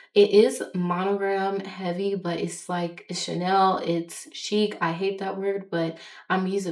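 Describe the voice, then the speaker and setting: Over noticeable background noise, a woman speaks at a fairly slow pace and a medium pitch with ordinary pitch variation. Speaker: fashion vlogger. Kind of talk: casual monologue vlog. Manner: stuttering at times.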